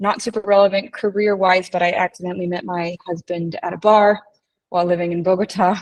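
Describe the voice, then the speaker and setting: Fairly quick and fairly even in intonation, a woman with an American accent has an ordinary speaking voice at a medium pitch. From United States. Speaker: strategy consultant. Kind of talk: interview.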